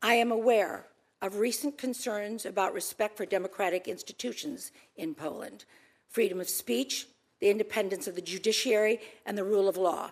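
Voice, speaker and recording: In an unremarkable speaking voice, a woman talks at a fairly quick pace, her medium pitch varying in an ordinary way. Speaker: ambassador nominee, businesswoman. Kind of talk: confirmation hearing statement and Q&A. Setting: Senate hearing room.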